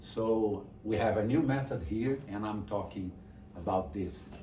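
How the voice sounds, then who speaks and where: Speaking with a Brazilian accent, a man takes a fairly slow pace. Audible room echo hangs around his voice. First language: Portuguese. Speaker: music teacher and publisher. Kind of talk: online class introduction. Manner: halting, repeats words.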